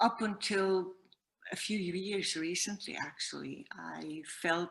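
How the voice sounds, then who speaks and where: Here a woman speaks fairly slowly. She uses ordinary pitch variation. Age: 50s. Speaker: singer and spiritual teacher. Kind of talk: testimony. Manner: halting.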